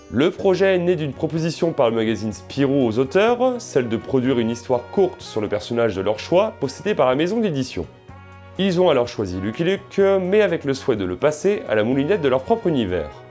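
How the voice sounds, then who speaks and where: A man talks at a fairly quick pace, his pitch swinging very widely. Music plays in the background. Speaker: comic book reviewer. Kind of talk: review narration.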